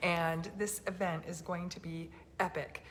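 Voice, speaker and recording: A soft-spoken woman with a medium-pitched voice. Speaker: health freedom activist host. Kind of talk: casual chat. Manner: soft-spoken, talking quietly.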